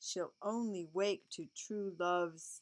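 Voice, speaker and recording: A woman puts on a character voice at a medium pitch, speaking at a fairly slow pace over a hissing sound. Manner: hissing, sharp.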